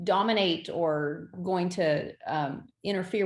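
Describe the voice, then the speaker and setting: An unremarkable speaking voice moves through ordinary pitch variation. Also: woman. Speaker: event venue owner. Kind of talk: podcast interview.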